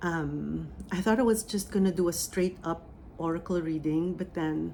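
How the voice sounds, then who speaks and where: With a Filipino accent, a woman speaks fairly slowly in a fairly low pitch, her tone dark and mellow and her pitch variation ordinary. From Philippines. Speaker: spiritual medium. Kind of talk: oracle reading and channeling; guided meditation. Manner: hesitant with fillers.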